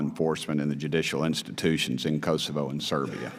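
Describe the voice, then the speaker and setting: A man with an East Tennessee accent speaks at a fairly quick pace. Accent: Southern US (East Tennessee). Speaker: congressman. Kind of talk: congressional hearing questioning.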